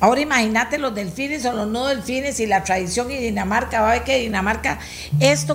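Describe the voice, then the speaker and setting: Audible room echo surrounds a woman's voice. She sounds somewhat breathy, with lively intonation. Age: 70s. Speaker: radio host. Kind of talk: radio talk show.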